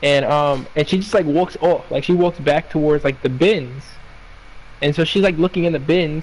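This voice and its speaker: A man speaks in a fairly high voice with ordinary pitch variation and very even loudness. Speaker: retail worker. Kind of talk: casual chat. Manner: fast.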